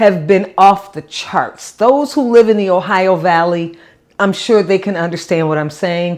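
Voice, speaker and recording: A woman speaks at a medium pitch with ordinary pitch variation. Her pace is fairly slow. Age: 60s. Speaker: product reviewer, vlogger. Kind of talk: casual product review vlog. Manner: halting, many repeated words.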